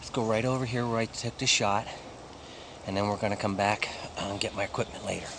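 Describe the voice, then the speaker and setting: Over noticeable background noise, a man speaks very fast in a flat monotone at a fairly low pitch, broken by long, frequent pauses. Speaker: hunting show host. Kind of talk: live field commentary. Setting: outdoors, in a tree stand.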